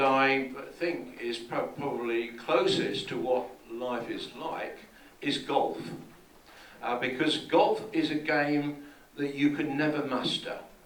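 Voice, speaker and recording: A man with a fairly high voice and a British accent, very slow pace, ordinary pitch variation, audible room echo and noticeable background noise. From England. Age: 70s. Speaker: conference speaker. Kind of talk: keynote talk. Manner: hesitant, with repetitions.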